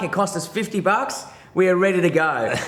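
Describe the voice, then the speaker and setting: A loud, animated man with an Australian accent and a high pitch, amid audible room echo and noticeable background noise. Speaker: stand-up comedian. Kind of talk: casual chat.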